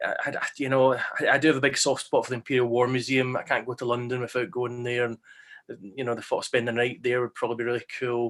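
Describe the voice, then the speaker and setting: A man with a Scottish accent talks very fast at a medium pitch, his intonation monotone and flat. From West Central Scotland, Glasgow. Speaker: history teacher hosting online panel. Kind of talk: casual panel chat.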